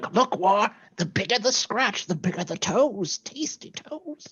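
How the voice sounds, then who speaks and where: A put-on character voice at a fairly high pitch, moving at a moderate pace. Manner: excited, gleeful, worked up.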